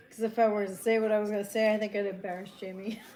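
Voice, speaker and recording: With an American accent and audible room echo, a woman speaks at a fairly quick pace, with medium pitch and monotone, flat intonation. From Long Island, New York. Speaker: livestream co-host. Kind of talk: casual chat.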